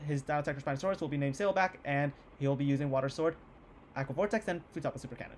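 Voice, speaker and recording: A man's fairly high, somewhat breathy voice, energetic in tone and very fast, with ordinary pitch variation. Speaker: YouTuber hosting a game tournament. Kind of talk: casual video commentary. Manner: casual, energetic.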